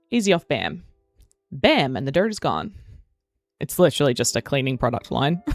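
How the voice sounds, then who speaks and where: A woman with an Australian accent and a very deep, low pitch, at a fairly quick pace with very wide pitch swings and long, frequent pauses. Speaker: gaming streamer. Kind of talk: live stream chat. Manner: casual, rambling.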